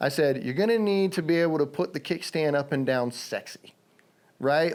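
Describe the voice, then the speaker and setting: With a slight Southern accent, a man talks at a fairly quick pace and fairly high pitch, animated in tone and lively in intonation. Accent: slight southern twang. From Virginia, US. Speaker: stuntman. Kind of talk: podcast interview. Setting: home studio basement. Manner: animated storytelling.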